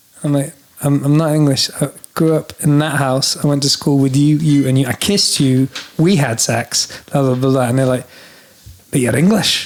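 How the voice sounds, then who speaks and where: Delivered at a moderate pace, the voice holds a very even loudness while noticeable background noise is heard. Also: man, fairly high pitch for a man. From Scotland (northern Highlands village). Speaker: singer-songwriter. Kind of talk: casual chat. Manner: animated.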